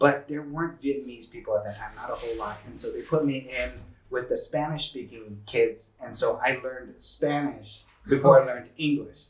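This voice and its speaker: Here a man speaks in an American accent at a moderate pace. His loudness swings widely. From San Diego, California. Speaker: tech executive. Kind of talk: interview. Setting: living room. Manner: casual. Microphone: poor audio.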